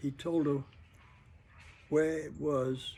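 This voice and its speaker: Somewhat breathy, a man speaks in a dark, mellow tone. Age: 80s+. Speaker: World War II veteran. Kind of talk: interview answer. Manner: hesitant, rambling.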